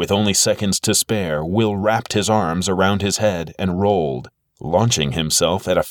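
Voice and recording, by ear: Reading aloud in a natural voice, ordinary pitch variation, a quiet background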